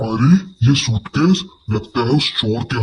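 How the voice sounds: A man speaks in a cartoonish character voice.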